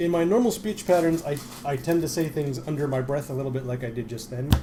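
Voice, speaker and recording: The speech is very fast with lively intonation, set against noticeable background noise. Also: man, fairly high pitch for a man. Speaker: card game streamer. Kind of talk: casual chat. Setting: live stream. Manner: mumbling under breath at times.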